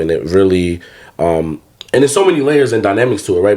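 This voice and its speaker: A man speaks with an American accent in a very deep, low pitch. Noticeable background noise is present. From North New Jersey (Roselle, near Newark). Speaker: therapist and author. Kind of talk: casual podcast chat. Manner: conversational, many fillers and repetitions.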